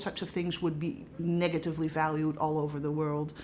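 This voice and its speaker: With a Dutch accent, a woman speaks at a very deep, low pitch and a moderate pace, her intonation fairly even. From Netherlands. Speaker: professor. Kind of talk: interview.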